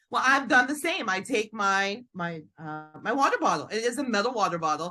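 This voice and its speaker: A woman's fairly high-pitched voice with very wide pitch swings at a fairly quick pace, music playing in the background. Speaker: dental clinician and entrepreneur. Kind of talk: podcast interview answer. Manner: fast-talking.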